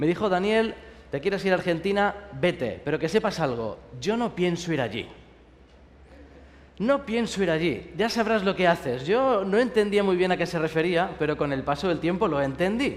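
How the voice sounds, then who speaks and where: Speaking in a Spanish accent with lively intonation at a moderate pace, the voice sits over noticeable background noise. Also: man, high pitch for a man. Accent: Spanish (Spain). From Spain. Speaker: pastor. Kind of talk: sermon. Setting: university chapel service with audience.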